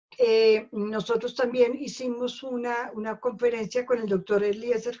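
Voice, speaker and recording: A woman has a dark, mellow tone and a fairly high pitch. She talks at a fairly slow pace. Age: 60s. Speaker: doctor and right-to-die advocate. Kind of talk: webinar lecture with Q&A. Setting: video call webinar.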